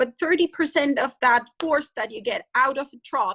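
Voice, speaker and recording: In a German accent, the speaker uses a raised, projected voice with a bright, sharp tone, and the sound is dry and close with no echo. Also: woman. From German-speaking Europe. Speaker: veterinarian. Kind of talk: webinar lecture. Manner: halting.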